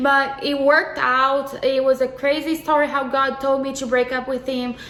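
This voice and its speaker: A woman's high-pitched, monotone, flat delivery at a moderate pace over noticeable background noise. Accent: Portuguese. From Brazil. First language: Portuguese. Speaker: co-host, YouTuber's wife. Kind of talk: casual testimony.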